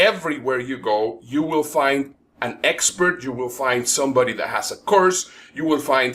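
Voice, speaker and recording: This is a man speaking. His pace is moderate. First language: not English (English is his third language). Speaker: professional speaker and event promoter. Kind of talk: webinar presentation.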